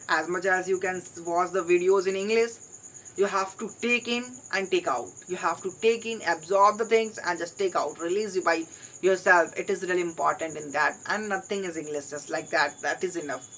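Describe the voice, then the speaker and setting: The speaker has an Indian accent and talks at a moderate pace. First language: Hindi. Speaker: English learner vlogger. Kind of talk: solo vlog monologue.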